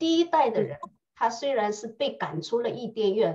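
Over a quiet background, a woman speaks in a fairly high pitch with a dark, mellow tone, a somewhat breathy quality, and very wide pitch swings. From China. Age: 40s. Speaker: English and Bible teacher. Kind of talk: tutorial. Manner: animated. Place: home room. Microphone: webcam.

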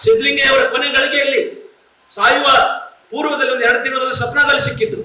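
With audible room echo and noticeable background noise, a man projects a raised voice at an extremely high pitch for a man, his pitch varying in an ordinary way. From North Karnataka, Vijayapura (Bijapur) district. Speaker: writer and professor. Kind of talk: keynote speech. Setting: stage with audience.

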